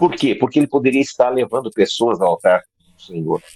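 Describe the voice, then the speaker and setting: Fairly quick male speech with vocal fry, lively intonation and a dark, mellow tone in a dry, close sound with no echo. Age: 60s. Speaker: preacher. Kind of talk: sermon. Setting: video call.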